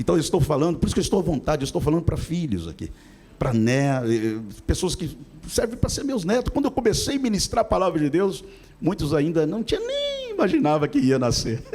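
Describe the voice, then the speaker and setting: Pitch swings very widely at a fairly quick pace. Noticeable background noise is present. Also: man, high pitch for a man. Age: 60s. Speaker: pastor. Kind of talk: sermon.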